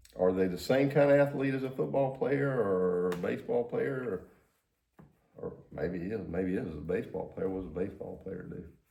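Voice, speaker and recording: Using very wide pitch swings, a man with a fairly low pitch talks at a fairly quick pace amid audible room echo. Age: 60s. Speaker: podcast co-host. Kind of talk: casual chat. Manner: animated.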